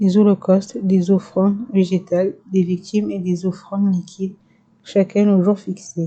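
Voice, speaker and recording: Somewhat breathy and monotone, a woman talks at a fairly slow pace in a medium pitch with flat intonation and a dark, mellow tone. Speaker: ASMR creator. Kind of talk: scripture reading. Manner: whispered.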